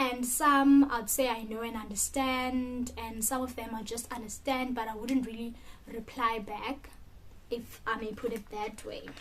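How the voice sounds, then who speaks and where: A woman with a South African accent talks at a fairly slow pace, her pitch fairly high. Her delivery is monotone and flat, and the room echo is audible. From South Africa, Mpumalanga (Middelburg). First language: Sepedi. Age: 20s. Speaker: vlogger. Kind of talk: casual chat.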